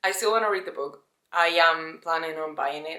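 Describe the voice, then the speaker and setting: Speaking at a moderate pace, a woman with a Spanish accent has a fairly low pitch. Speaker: lifestyle vlogger. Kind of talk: casual vlog monologue. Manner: casual, conversational.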